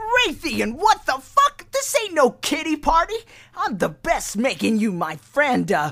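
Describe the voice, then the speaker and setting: A put-on character voice with a high pitch delivers the lines at a fairly slow pace. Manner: brash, mocking.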